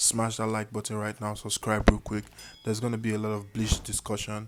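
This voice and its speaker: Over noticeable background noise, a man speaks at a fairly low pitch with an African accent. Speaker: anime YouTuber. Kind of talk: casual commentary video. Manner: casual, hesitant with fillers. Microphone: poor mic.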